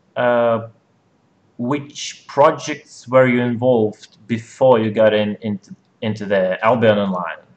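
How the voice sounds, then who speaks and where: This man's voice sits at a medium pitch. He delivers his words at a fairly slow pace. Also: ordinary pitch variation. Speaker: podcast host. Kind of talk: casual chat. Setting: live stream. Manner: loud.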